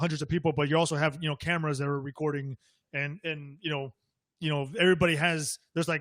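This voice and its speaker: Man with a fairly high pitch at a very fast pace, very clean recording, silent background. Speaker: multifamily real estate investor. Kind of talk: podcast interview. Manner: fast when excited; hesitant, many fillers.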